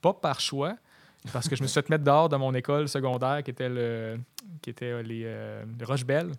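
A man's plain, everyday voice, medium in pitch, with fairly even intonation at a moderate pace. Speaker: photographer and punk rock drummer. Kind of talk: casual chat.

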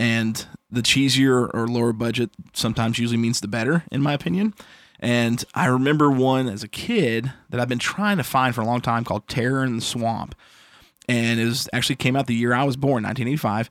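On a very clean recording with a silent background, a man speaks at a fairly quick pace, medium in pitch with ordinary pitch variation. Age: 30s. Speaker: podcast host. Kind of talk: casual chat. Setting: home studio. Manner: loud.

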